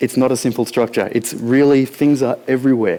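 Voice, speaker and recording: Over noticeable background noise, a man with a fairly high voice and an Australian accent talks at a fairly quick pace. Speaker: conference speaker. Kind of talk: conference talk. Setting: stage with audience. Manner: fast; casual.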